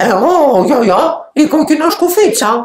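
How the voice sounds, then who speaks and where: A high, put-on character voice with very wide pitch swings. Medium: read story. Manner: sly, falsely sweet.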